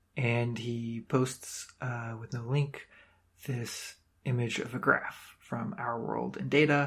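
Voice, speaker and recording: At a medium pitch, a man speaks in a somewhat breathy voice with ordinary pitch variation. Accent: American. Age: 20s. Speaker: climate podcast host. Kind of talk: solo commentary podcast. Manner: frequent fillers and repetitions.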